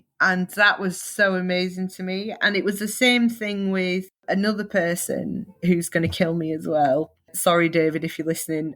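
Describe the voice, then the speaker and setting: In a Northern English accent, a woman speaks at a moderate pace and a medium pitch. She leaves hardly any pauses. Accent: Northern English, stands out. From northern England, Leeds, Yorkshire. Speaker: photographer. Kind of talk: interview. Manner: animated.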